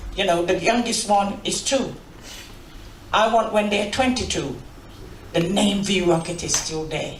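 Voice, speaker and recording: Noticeable background noise runs under speech that goes at a fairly slow pace with long, frequent pauses. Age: 60s. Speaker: sound system owner. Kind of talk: panel discussion.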